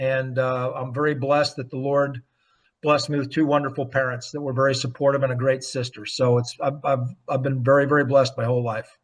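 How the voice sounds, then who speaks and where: Talking very fast with an American accent, a man has a fairly high pitch and a somewhat breathy, monotone, flat delivery. The background is quiet. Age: 60s. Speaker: retired pro golfer and real estate broker. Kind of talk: interview. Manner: halting, with repeated fillers.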